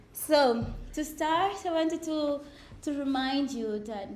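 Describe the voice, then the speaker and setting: Lively intonation amid audible room echo. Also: woman. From Mozambique, Beira. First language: Portuguese. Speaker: ecologist. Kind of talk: lecture.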